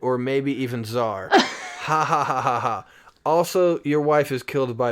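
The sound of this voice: Here is an unforced reading voice. It carries the whole clip.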